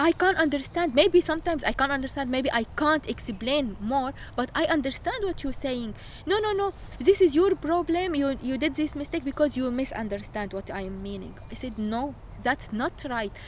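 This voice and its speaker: A woman with an Arabic accent talks at a moderate pace, her high-pitched voice carrying lively intonation. Noticeable background noise sits behind her. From Syria. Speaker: refugee. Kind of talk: interview testimony. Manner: halting.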